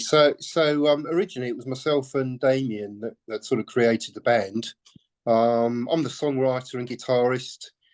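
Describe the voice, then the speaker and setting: With a British accent, the speaker moves at a moderate pace and shows ordinary pitch variation. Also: man. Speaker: musician, songwriter and guitarist. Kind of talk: interview. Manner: halting, many fillers and repetitions.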